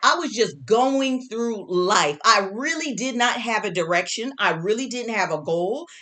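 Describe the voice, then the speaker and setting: A woman speaks loudly at a fairly slow pace, her animated tone carried by very wide pitch swings. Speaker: herbalist and spiritual teacher. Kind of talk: motivational talk.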